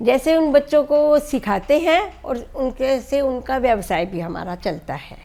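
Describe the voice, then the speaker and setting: With a dark, mellow tone, a woman speaks at a high pitch with very wide pitch swings, big swings in loudness and hardly any pauses. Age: 60s. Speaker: NGO founder. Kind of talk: interview. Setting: at home.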